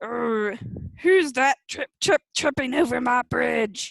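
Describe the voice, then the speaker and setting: A put-on character voice growls at a very slow pace. It is gravelly and fairly high in pitch. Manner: growling.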